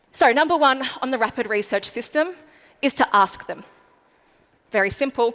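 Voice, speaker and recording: Her pitch varying in an ordinary way, a woman talks in an Australian accent. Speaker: marketing speaker. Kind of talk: keynote speech. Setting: stage with audience. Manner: fast.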